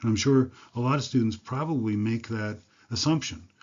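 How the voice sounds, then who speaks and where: A man with an American accent talks at a moderate pace, his medium pitch showing ordinary variation. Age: 60s. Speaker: university lecturer. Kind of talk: lecture. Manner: halting, many fillers.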